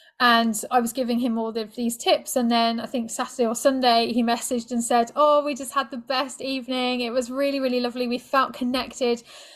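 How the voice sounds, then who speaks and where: A high-pitched woman's voice with a British accent, monotone and flat, at a fairly quick pace. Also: hardly any pauses. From Britain. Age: 40s. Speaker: sex and relationship coach. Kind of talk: podcast interview.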